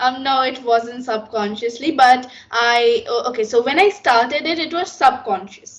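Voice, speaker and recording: A woman with an American accent speaks at a moderate pace in a high voice, with hardly any pauses. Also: ordinary pitch variation. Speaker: English learner, vlogger. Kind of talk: interview.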